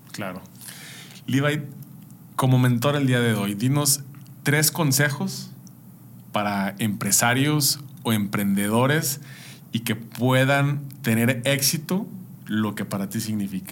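A man with a Mexican accent speaks at a very slow pace with long, frequent pauses, a medium pitch and ordinary pitch variation. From Mexico. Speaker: podcast host. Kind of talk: interview.

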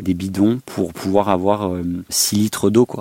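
Fairly low in pitch, a man speaks at a fairly slow pace in a dark, mellow tone with monotone, flat intonation. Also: dry, close sound with no echo. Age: 20s. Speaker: vanlifer. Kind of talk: interview.

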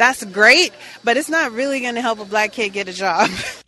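Over noticeable background noise, a woman with a fairly high pitch speaks at a moderate pace. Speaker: rally attendee interviewee. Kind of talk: street interview. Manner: hesitant with fillers.

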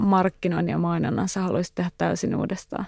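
The speaker is a woman, moving at a moderate pace. Her voice sounds dry and close, without any echo. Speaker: podcast host and journalist. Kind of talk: casual interview.

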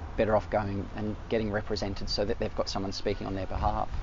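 Flat, monotone delivery at a moderate pace from a man with a fairly low pitch and an Australian accent, with audible room echo. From Melbourne, Australia (eastern suburbs). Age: 40s. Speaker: artist. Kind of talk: casual interview. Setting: outdoors in a park.

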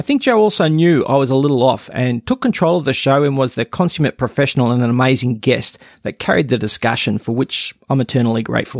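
A man talks at a very fast pace in an Australian accent. His pitch varies in an ordinary way, and the sound is dry and close with no echo. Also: medium pitch for a man. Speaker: podcast host. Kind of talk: scripted intro narration; interview conversation.

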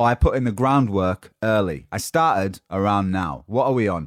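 A man with a Yorkshire accent speaks at a moderate pace in an animated tone, with ordinary pitch variation. The recording is very clean, with a silent background. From Yorkshire, northern England. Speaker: motivational podcast host. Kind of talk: motivational monologue.

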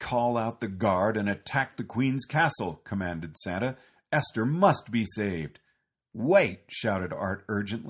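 The background is quiet as a natural voice reads aloud.

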